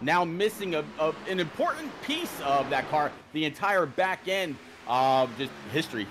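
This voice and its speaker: A man with a fairly high pitch uses lively intonation at a moderate pace, with noticeable background noise behind him. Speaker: race commentator.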